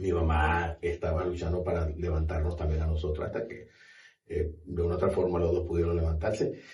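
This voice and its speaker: A man's somewhat breathy voice, dark and mellow in tone, carries an audible room echo. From Venezuela, Maracaibo (Zulia). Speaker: university director. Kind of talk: podcast interview.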